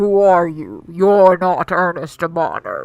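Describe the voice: A put-on character voice at a middle pitch moves at a fairly slow pace, with faint music in the background.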